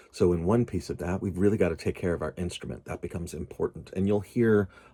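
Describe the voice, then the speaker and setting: Somewhat breathy and dark, mellow in tone, a man with an American accent speaks at a fairly quick pace with ordinary pitch variation. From US, Pittsburgh. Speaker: tarot reader. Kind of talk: informal teaching talk. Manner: hesitant, many fillers.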